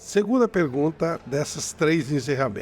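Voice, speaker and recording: Lively intonation runs through a man's normal speaking voice, which sits at a fairly high pitch. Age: 60s. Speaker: interview show host. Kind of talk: interview.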